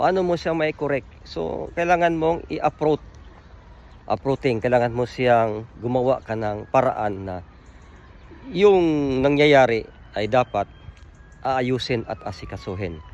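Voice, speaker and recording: Pausing often and at length, a man speaks at a fairly slow pace with very wide pitch swings. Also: medium pitch for a man. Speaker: fraternity chapter leader. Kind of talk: video greeting message. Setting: outdoors on a friend's farm.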